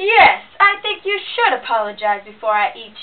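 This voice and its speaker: A put-on character voice growls at a moderate pace with very wide pitch swings. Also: woman. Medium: read story.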